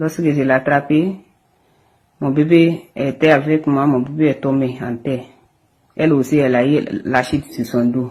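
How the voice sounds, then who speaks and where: A woman speaks with a very deep, low pitch. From Guinea. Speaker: acid attack victim. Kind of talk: testimony. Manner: halting.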